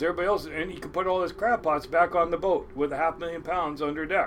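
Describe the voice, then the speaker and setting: A man with an American accent talks at a fairly quick pace in a high voice. Noticeable background noise runs underneath. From Washington State (Kent). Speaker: commercial crab fisherman. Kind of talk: casual storytelling interview. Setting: on a boat.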